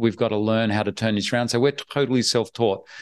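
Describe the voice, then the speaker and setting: Over a quiet background, a man talks with an Australian accent. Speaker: online business investor. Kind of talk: interview. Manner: animated.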